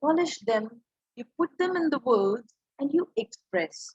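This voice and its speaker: A woman with a Punjabi accent speaks at a fairly slow pace and a high pitch. Her intonation is lively, and the sound is dry and close with no echo. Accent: Indian English, Punjabi. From India, Punjab. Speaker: English professor, communication trainer. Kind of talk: lecture.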